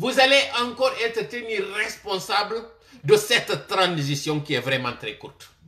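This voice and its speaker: In a raised, projected voice, a man speaks with a bright, sharp tone and very wide pitch swings. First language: Malinke (Manding) (speaking French). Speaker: political commentator. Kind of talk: political commentary monologue. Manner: impassioned direct address.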